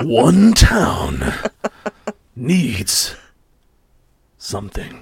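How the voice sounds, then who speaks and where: This is a put-on character voice. Its tone is dramatic. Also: man, medium pitch for a man. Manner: dramatic, gravelly announcing.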